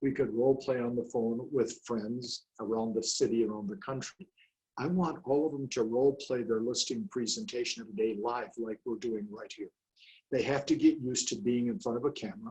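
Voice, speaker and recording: Fairly quick and somewhat breathy, a man's medium-pitched voice has a dark, mellow tone and ordinary pitch variation. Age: 70s. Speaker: real estate coach and trainer. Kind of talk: interview. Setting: video call. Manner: animated.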